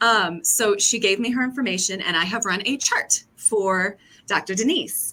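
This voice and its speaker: A woman talks loudly at a moderate pace, her pitch in the medium range with ordinary variation. Her tone is bright and sharp. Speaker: brand strategist. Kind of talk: casual chat. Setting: video call.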